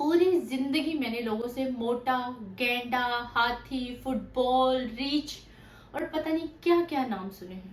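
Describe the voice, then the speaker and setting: A woman speaks at a high pitch with ordinary pitch variation and big swings in loudness. Audible room echo and noticeable background noise are present. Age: 30s. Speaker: weight loss vlogger. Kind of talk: personal testimony.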